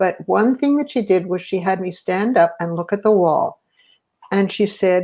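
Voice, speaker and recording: Her voice has a dark, mellow tone at a medium pitch with ordinary pitch variation. The woman speaks at a moderate pace. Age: 70s. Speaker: guest sharing personal experience. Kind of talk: personal storytelling in interview. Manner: halting, many fillers.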